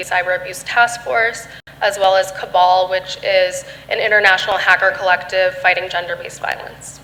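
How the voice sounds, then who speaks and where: In an American accent, the voice holds fairly even intonation over noticeable background noise. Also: woman. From Michigan. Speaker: security researcher. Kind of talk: panel discussion.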